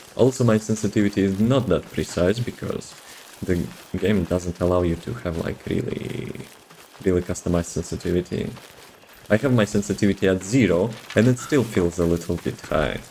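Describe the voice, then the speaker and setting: Speaking at a moderate pace with long, frequent pauses, a man with a very deep, low pitch and a non-native accent uses ordinary pitch variation over noticeable background noise. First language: not English. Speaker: video game streamer. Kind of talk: live gameplay stream commentary. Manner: casual, halting with repeated words.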